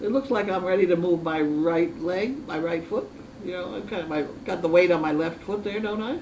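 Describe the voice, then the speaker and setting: The talking moves along at a fairly quick pace, and noticeable background noise can be heard throughout. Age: 80s+. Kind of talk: casual chat.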